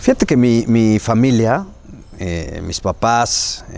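A man speaks in a dark, mellow tone. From Mexico, Puebla. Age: 40s. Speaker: state legislator. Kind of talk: interview.

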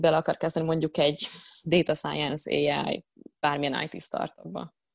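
Against a quiet background, a woman talks at a moderate speed. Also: dry, close sound with no echo. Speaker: data scientist. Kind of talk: interview.

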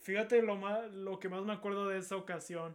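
At a fairly slow pace, a man speaks in a high pitch. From Monterrey, northern Mexico. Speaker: film student. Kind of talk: casual chat.

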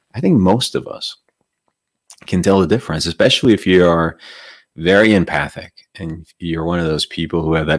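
With a Spanish accent, a man speaks at a moderate pace in a very deep, low pitch, his intonation fairly even and the sound dry and close with no echo. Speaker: meditation teacher. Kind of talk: livestream talk and guided meditation. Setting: online livestream. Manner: soft-spoken.

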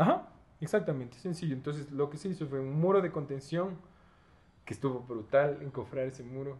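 A man talks at a fairly quick pace in a fairly high, somewhat breathy voice. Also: ordinary pitch variation. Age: 20s. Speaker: architect and university lecturer. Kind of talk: casual interview chat. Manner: animated.

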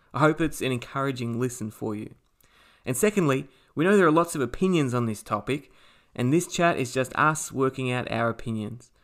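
A man's plain, everyday voice at medium pitch, with ordinary pitch variation, on a very clean recording with a silent background. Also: fairly quick pace. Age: 40s. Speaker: podcast host. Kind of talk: casual chat.

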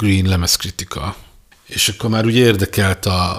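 A man's normal speaking voice, fairly low in pitch, with fairly even intonation. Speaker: podcast host and music journalist. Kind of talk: casual chat about music.

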